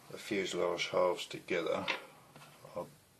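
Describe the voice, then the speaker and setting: Noticeable noise sits behind the voice. The speaker is a man. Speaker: scale model builder. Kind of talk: tutorial. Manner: soft-spoken; slow.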